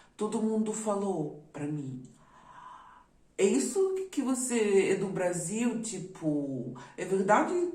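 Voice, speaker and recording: A woman with a non-native accent speaks very slowly amid noticeable background noise and audible room echo. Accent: foreign accent in Portuguese. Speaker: YouTuber. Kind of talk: personal testimony.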